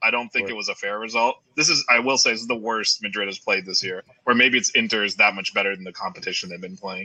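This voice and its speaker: With an American accent, a man talks at a very fast pace. His loudness swings widely. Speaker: guest soccer fan. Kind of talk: casual chat.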